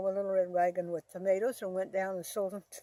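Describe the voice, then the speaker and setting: The woman's tone is dark and mellow, with an American accent. Her pitch is medium. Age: 80s+. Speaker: storyteller. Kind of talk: life story reminiscence. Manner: halting.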